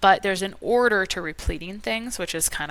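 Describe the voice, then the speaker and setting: Bright and sharp in tone, a woman with a medium pitch and vocal fry speaks in an animated way at a fairly quick pace, her intonation lively. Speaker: holistic nutrition practitioner. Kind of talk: interview conversation. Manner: fast.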